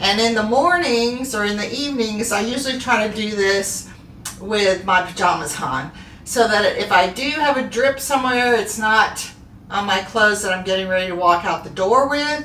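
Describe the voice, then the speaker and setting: Over noticeable background noise and audible room echo, a woman talks with lively intonation at a fairly high pitch. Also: moderate pace. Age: 60s. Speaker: skincare soap maker and video host. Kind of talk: casual tutorial. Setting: home bathroom. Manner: relaxed, conversational with fillers.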